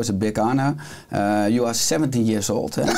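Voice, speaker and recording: Over noticeable background noise, a man speaks very fast at a fairly low pitch with ordinary pitch variation. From Netherlands. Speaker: podcast host. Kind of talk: interview. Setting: studio.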